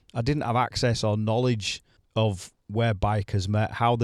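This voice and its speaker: A man with a Yorkshire accent talks at a moderate pace, his fairly low pitch moving in fairly even intonation, recorded very cleanly with a silent background and a dry, close sound without echo. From Leeds, West Yorkshire, England. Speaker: motorcycling podcast host. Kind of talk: solo podcast monologue. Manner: conversational, some repetitions.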